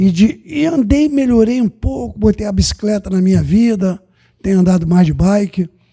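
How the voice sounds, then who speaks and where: The man's high-pitched voice has a dark, mellow tone and lively intonation, recorded with a dry, close sound and no echo. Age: 70s. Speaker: football coach. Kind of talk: casual chat.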